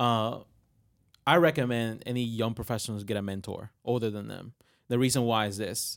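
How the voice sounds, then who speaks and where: Recorded very cleanly against a silent background, the speaker talks with a Spanish accent at a moderate pace and with fairly even intonation. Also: man, medium pitch for a man. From Puerto Rico. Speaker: marketing agency professional. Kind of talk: panel discussion.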